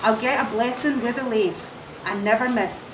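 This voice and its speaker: Noticeable background noise and audible room echo accompany a woman speaking at a moderate pace in a Scottish accent. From Scotland. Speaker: teacher. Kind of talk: poetry reading.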